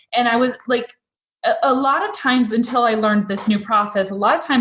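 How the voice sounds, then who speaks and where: A woman with an American accent speaks at a fairly quick pace in an ordinary speaking voice, with ordinary pitch variation. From Massachusetts. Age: 40s. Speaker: photographer and coach. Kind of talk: interview conversation.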